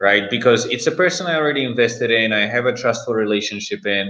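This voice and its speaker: His pitch varies in an ordinary way. The man's voice sits at a medium pitch. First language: Czech. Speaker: startup investor. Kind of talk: panel discussion. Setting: live-streamed virtual event. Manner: hesitant, many fillers.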